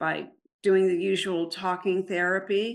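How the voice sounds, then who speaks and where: A woman's voice at medium pitch. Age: 70s. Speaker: recovered alcohol-use survivor helping others. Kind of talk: interview.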